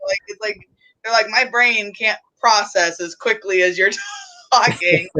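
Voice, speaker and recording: Speaking fairly slowly with an American accent, the voice has a bright, sharp tone and fairly even intonation. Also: woman, fairly high pitch for a woman. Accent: people say she has an. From Pittsburgh, Pennsylvania. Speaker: podcast co-host, reptile keeper. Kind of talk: casual chat.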